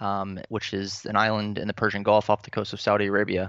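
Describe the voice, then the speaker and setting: Over a quiet background, a man speaks at a moderate pace with a fairly low pitch and a bright, sharp tone. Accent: American. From Florida, US. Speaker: teacher. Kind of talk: interview. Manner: hesitant, many fillers.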